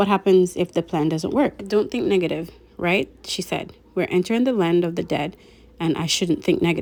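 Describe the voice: This is plain reading aloud, and its pitch shows ordinary variation.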